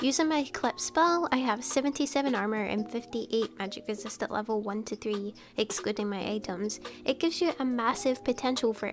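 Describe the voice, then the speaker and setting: A woman talks at a fairly quick pace in a fairly high pitch. Music plays in the background. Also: hardly any pauses. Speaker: video game guide creator. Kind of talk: game tutorial narration.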